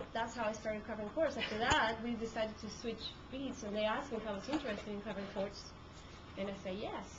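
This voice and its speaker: A fairly high-pitched woman's voice in a Spanish accent, at a moderate pace with fairly even intonation, plus noticeable background noise and audible room echo. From Peru. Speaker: court reporter. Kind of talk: talk to a class. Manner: hesitant, many fillers.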